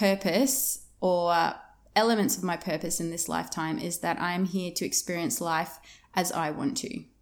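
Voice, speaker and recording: A woman with an Australian accent talks at a moderate pace in a medium pitch with ordinary variation. The recording is very clean, with a silent background. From Australia, Victoria (Yarra Valley, outskirts of Melbourne). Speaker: business mindset coach and podcast host. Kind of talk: casual monologue. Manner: animated.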